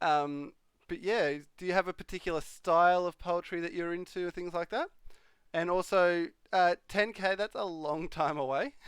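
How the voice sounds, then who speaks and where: With an Australian accent, a man speaks at a moderate pace in a high pitch for a man, with ordinary pitch variation. The sound is dry and close with no echo, against a quiet background. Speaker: live streamer. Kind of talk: casual live stream chat. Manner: hesitant, many fillers.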